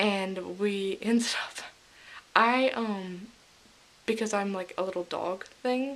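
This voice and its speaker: At a fairly slow pace, a woman talks with a medium pitch and ordinary pitch variation. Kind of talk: casual vlog recap to camera. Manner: enthusiastic.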